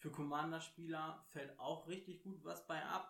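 Speaking in a rather high register with fairly level intonation, a man is heard with audible room echo. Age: 30s. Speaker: podcast co-host, card game player. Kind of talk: casual chat.

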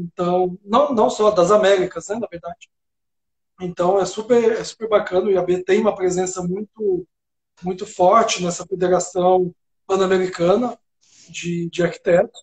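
A man's fairly slow, monotone, flat delivery, high-pitched for a man. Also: dry, close sound with no echo. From Minas Gerais, Brazil (interior, Serra da Canastra). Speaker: architect and urban planner. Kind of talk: casual interview.

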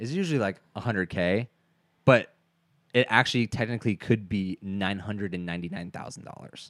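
A man speaks at a moderate pace in a fairly low pitch, with an animated tone and ordinary pitch variation. The recording is very clean with a silent background and a dry, close sound with no echo. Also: big swings in loudness. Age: 20s. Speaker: podcast co-host. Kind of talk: casual chat.

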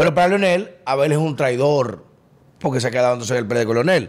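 A man's fairly high voice, a normal speaking voice, with lively intonation. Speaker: podcast host. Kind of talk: political interview. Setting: studio.

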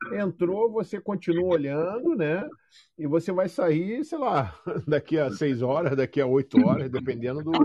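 Pitched high, a man's voice moves at a fairly slow pace. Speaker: podcast co-host, crypto student. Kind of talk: casual chat.

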